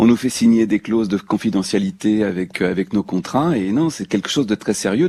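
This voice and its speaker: A man with a fairly low pitch and a dark, mellow tone talks at a fairly quick pace with ordinary pitch variation. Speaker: voice actor. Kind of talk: radio interview answer. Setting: radio studio.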